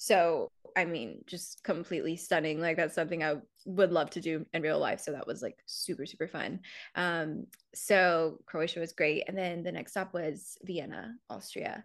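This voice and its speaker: A woman with a fairly low pitch uses a plain, everyday voice with ordinary pitch variation over a quiet background. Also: moderate pace. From South Carolina. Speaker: reality TV contestant and content creator. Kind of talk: casual interview chat.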